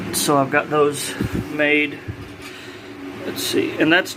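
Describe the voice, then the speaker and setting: With noticeable background noise behind him, a man talks in a fairly high voice. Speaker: hobbyist builder. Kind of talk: workshop vlog. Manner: fast; casual, hesitant.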